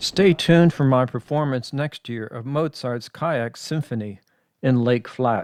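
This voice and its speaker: Heard on a very clean recording with a silent background and a dry, close sound with no echo, a man with an ordinary speaking voice talks at a fairly slow pace. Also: medium pitch for a man, ordinary pitch variation. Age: 60s. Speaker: retired hobby vlogger. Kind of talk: scripted narration voiceover. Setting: overdubbed voiceover.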